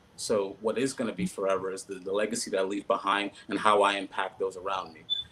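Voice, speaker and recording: A man's fairly low, monotone, flat voice at a very fast pace, with big swings in loudness and noticeable background noise. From US, Haitian-American family. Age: 30s. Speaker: political candidate. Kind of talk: panel interview. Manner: halting, many fillers and repeats.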